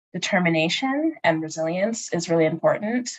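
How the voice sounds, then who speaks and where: With an unremarkable speaking voice, a woman speaks in a fairly low pitch with an American accent. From Northern Virginia, US. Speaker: space engineer. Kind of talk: career Q&A conversation.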